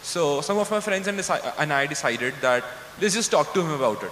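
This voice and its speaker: Light background noise and audible room echo surround the voice. Its pitch varies in an ordinary way. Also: man. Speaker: student moderator. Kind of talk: moderated Q&A. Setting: stage with audience. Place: stage. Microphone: handheld.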